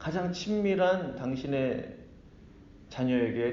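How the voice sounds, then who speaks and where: A man with lively intonation, heard with audible room echo. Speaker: pastor. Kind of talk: sermon.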